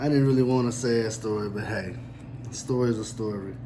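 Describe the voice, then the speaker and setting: A moderate pace, audible room echo and noticeable background noise. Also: man. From Louisville, Kentucky. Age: 40s. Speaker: storyteller, YouTuber. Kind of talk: casual storytelling monologue.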